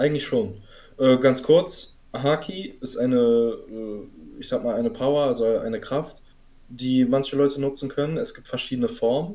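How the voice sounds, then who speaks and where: Lively intonation, big swings in loudness and a dark, mellow tone. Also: man, fairly high pitch for a man, moderate pace. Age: 20s. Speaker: podcast host, student. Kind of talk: casual chat.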